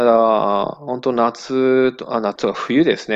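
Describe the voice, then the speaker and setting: His pitch shifting in an ordinary way, the man uses an ordinary speaking voice. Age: 40s. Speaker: sake brewery owner. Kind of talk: interview.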